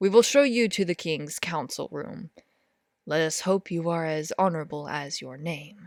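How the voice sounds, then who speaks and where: A put-on character voice, gruff and pitched in the middle range. It moves at a moderate pace. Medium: read story. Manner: gruff, wary.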